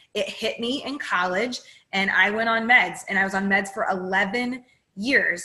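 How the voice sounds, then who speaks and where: A woman's fairly high voice, animated in tone, with ordinary pitch variation. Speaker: therapist and speaker. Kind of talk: talk to an audience.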